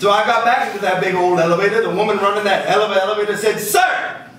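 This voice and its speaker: A man with a high pitch, an animated, playful tone and ordinary pitch variation, with audible room echo and light background noise. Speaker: poet performing his own poem. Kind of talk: spoken-word poetry performance, rhythmic rhymed storytelling with audience laughter. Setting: live in front of an audience at a bar venue. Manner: animated, playful, rhythmic delivery, cheeky and laughing at his own jokes; jokey, upbeat and sing-song, switching into character voices for the dialogue. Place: stage.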